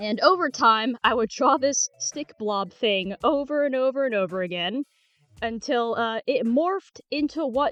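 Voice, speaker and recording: A woman speaks with a high pitch, lively intonation and a fairly slow pace. The sound is dry and close with no echo, and music plays in the background. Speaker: youtuber. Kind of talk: casual chat. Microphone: earbud mic, sounds bad.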